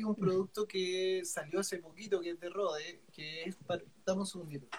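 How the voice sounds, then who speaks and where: Speaking in a Chilean accent, a man talks at a high pitch. His pace is fairly slow and his intonation fairly even. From Chile, Concepción. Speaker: musician, audio equipment seller. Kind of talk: casual interview chat.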